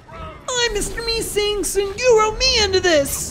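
Over clear background noise, a put-on character voice at an extremely high pitch moves along at a fairly slow pace. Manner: cartoonish, insistent.

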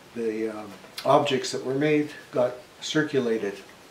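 At a very slow pace, a man speaks amid light background noise and audible room echo. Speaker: woodworking channel host. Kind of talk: casual vlog chat. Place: workshop. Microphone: camera far.

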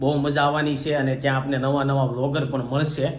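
A man's flat, monotone delivery, with light background noise and audible room echo. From Gujarat, India. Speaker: family vlogger. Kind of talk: casual vlog chat. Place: home room. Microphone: phone near.

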